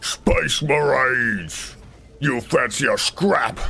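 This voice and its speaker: A man puts on a character voice, talking at a very slow pace with a fairly high pitch. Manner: aggressive, taunting, cheeky.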